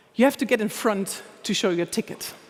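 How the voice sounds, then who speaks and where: Amid noticeable background noise, a woman with a German accent speaks at a fairly slow pace. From Germany, Anhalt-Bitterfeld. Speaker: humor expert, speaker. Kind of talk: conference talk. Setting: stage with audience.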